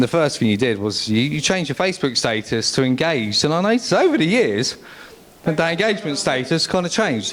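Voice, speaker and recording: A man with an English accent talks at a very fast pace, his pitch swinging very widely while his loudness stays very even, over noticeable background noise. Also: fairly high pitch for a man. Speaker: best man. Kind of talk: wedding speech. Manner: halting.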